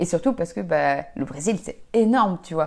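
Over noticeable background noise, a woman speaks in a fairly low pitch with lively intonation. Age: 20s. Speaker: amateur athlete. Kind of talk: casual chat. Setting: home.

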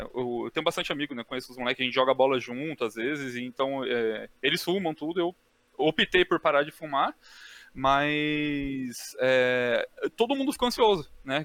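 At a moderate pace, an unremarkable speaking voice moves with lively intonation. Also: man. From Brazil, São Paulo. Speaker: co-host. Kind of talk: casual chat.

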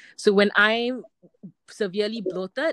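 A woman speaks in a normal speaking voice at medium pitch and a moderate pace, with ordinary pitch variation. The sound is dry and close, with no echo. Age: 30s. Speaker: amateur triathlete. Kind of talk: interview.

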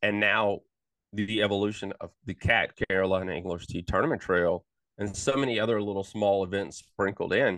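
A normal speaking voice moves at a moderate pace over a quiet background. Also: man. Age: 50s. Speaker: bass fishing podcast host. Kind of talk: casual chat.

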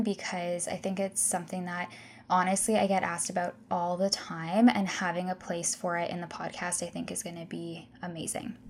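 In a Canadian accent and a plain, everyday voice, the speaker moves at a fairly quick pace with hardly any pauses and fairly even intonation. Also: woman. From Canada, Ontario (Guelph). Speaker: nutrition practitioner and podcast host. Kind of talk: casual solo podcast talk.

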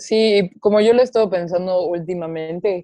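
In a dry, close recording with no echo, a woman speaks fairly slowly at a fairly low pitch, with a dark, mellow tone and fairly even intonation. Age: 20s. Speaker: TikTok creator and babysitter. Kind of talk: casual chat.

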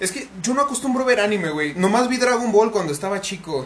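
Over noticeable background noise and audible room echo, a man with a Mexican accent speaks with very wide pitch swings. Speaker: podcast host and content creator. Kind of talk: casual chat.

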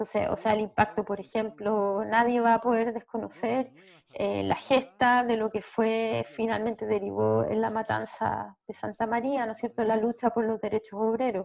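A woman with a Chilean accent, fairly high pitch, monotone, flat intonation, a moderate pace and hardly any pauses. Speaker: social anthropologist. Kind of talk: interview.

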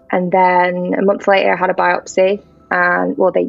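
This is a woman speaking. She has a North Welsh accent. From North Wales. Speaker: cancer survivor and charity worker. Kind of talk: testimony.

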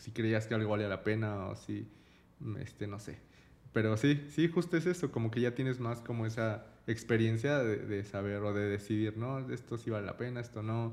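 This man talks at a moderate pace with a Mexican accent. His pitch moves in an ordinary way. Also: medium pitch for a man. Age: 30s. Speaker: podcast co-host. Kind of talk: casual chat.

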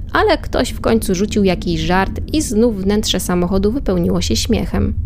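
Noticeable noise is present in the background. A woman talks over it at a moderate speed. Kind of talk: scripted horror storytelling, read aloud as a spooky narration.

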